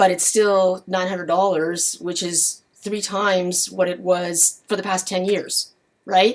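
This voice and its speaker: A fairly slow pace and monotone, flat intonation. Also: woman, medium pitch for a woman. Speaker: lumber market publisher. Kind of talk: market commentary.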